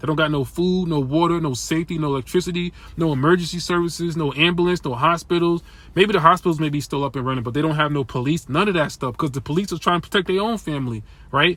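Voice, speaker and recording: Speaking at a very fast clip, this voice shows ordinary pitch variation. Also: man, fairly high pitch for a man. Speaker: commentator on economy and survival prep. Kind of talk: casual monologue. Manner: halting, many repetitions.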